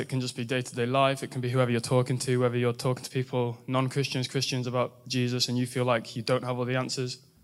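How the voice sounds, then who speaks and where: With an English accent, a man speaks at a fairly quick pace. His voice sits at a medium pitch. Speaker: university student. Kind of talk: testimony. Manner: halting.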